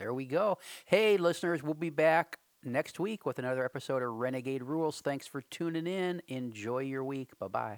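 A man with a plain, everyday voice speaks at a fairly high pitch and moderate pace with ordinary pitch variation. The recording is very clean, with a silent background and a dry, close sound with no echo. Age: 40s. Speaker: early learning podcast co-host. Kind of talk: casual chat.

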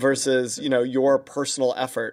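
The speaker is a man with a New York accent. He keeps a moderate pace. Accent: New York lilt. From US Northeast, New York. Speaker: podcast host, leadership consultant. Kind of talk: interview podcast. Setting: video call. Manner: halting, many fillers.

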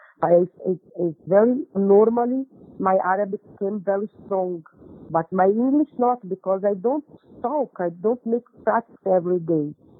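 A woman speaks at a medium pitch with a slightly husky edge, at a moderate pace with few pauses and ordinary pitch variation. The sound is dry and close, with no echo.

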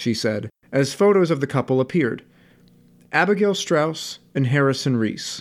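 In a very clean recording with a silent background, a man with a normal speaking voice and medium pitch talks at a moderate pace with lively intonation. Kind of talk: first-person audiobook narration, noir-style, crime thriller.

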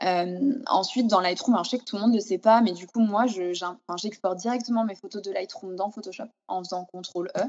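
A woman talks in an unremarkable speaking voice. She moves at a fairly quick pace with fairly even intonation. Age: 30s. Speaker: food photographer and stylist. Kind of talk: interview. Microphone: sound problems in some passages.

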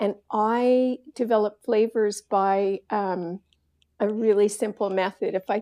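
In a very clean recording with a silent background and a dry, close sound with no echo, a woman speaks with a dark, mellow tone, fairly high pitch and fairly even intonation. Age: 60s. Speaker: baking show contestant. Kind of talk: interview.

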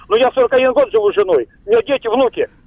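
A man speaks at a fairly quick pace with extremely high pitch and lively intonation. Noticeable background noise sits behind him. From Veliky Novgorod, Russia. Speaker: radio caller. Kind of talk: call-in comment. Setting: phone call. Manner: animated.

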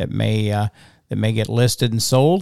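In an ordinary speaking voice, the words come at a fairly quick pace, recorded very cleanly against a silent background. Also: man. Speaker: auctioneer podcast host. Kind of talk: casual chat. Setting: studio. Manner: chatty, joking.

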